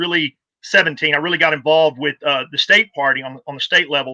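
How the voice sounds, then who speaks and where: A man with a Texan accent, a bright, sharp tone, and a fairly quick pace, in a dry, close sound with no echo. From Texas. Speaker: political party volunteer and activist. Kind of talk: casual interview.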